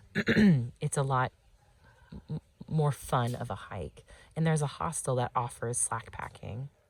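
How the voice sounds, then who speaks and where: Somewhat breathy and very deep, a woman's voice moves at a fairly slow pace with long, frequent pauses and lively intonation, in a dry, close sound with no echo. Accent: American. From Texas. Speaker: long-distance hiker vlogger. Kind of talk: casual video diary. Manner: halting, many fillers.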